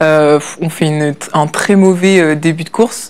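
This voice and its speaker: This woman's voice sits fairly low in pitch. Her intonation stays fairly even. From France. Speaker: olympic rower. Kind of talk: interview. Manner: hesitant, many fillers.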